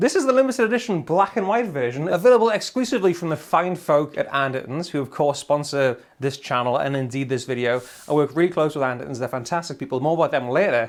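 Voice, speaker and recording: Talking at a very fast pace, a man with a Geordie accent uses an animated tone and very wide pitch swings. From northern England, Newcastle (Geordie). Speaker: guitarist and gear reviewer. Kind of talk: gear demo and review.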